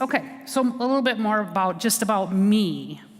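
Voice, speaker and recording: Over noticeable background noise, a woman speaks loudly at a medium pitch and a moderate pace. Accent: American. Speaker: county veterans service officer. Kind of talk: presentation to an audience.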